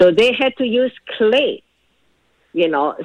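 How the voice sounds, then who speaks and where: In a Chinese accent, a woman speaks at a very slow pace with lively intonation, recorded with a dry, close sound and no echo. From China. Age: 60s. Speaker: storyteller recounting family history. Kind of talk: personal testimony. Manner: halting, many fillers.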